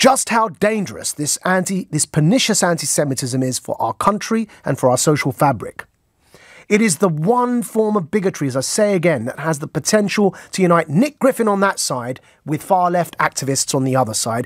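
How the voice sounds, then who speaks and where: A man talks at a moderate pace with very wide pitch swings. The sound is dry with no echo over a quiet background. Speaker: radio show host. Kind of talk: radio monologue commentary. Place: studio. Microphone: studio mic.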